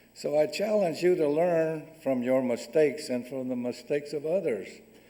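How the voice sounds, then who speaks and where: At a moderate pace, a man speaks with a dark, mellow tone and fairly high pitch. His pitch variation is ordinary, with audible room echo around him. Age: 70s. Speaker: guest speaker. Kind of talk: lecture. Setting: stage with audience.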